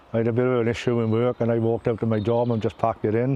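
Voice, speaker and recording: A man speaks at a fairly quick pace with a south Wales accent. His pitch is medium, and background noise is noticeable. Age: 60s. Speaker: former volunteer. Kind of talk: interview testimony. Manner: halting.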